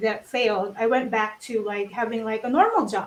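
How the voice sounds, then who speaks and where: This woman speaks with a Filipino accent. Her voice sits at a fairly high pitch. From Philippines. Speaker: crypto community panelist. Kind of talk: panel discussion. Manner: halting.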